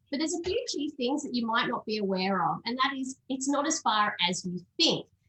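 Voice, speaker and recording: Speaking with an Australian accent, a woman uses a high pitch and very wide pitch swings. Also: fairly quick pace. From Australia, Sydney. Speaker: travel company sales manager. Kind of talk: presentation.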